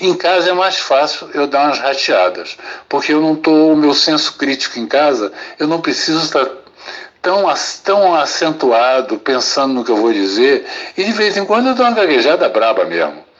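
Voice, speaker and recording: Over noticeable background noise, a man's fairly high voice makes very wide pitch swings. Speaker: psychiatrist. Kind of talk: testimony. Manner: slow, paced.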